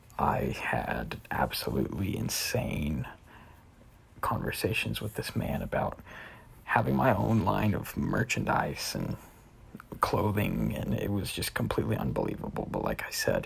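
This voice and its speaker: With a very deep, low pitch, a man talks at a fairly slow pace while his pitch swings very widely. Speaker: gamer. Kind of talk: personal statement vlog. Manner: hesitant, filler words.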